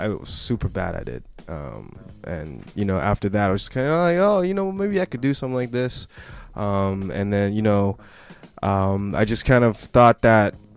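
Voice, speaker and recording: A man speaks at a moderate pace with a fairly low pitch. His intonation is lively, and music plays in the background. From Canada, east side of Vancouver. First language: not English (language not named). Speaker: rapper. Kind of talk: radio interview. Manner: halting, many fillers.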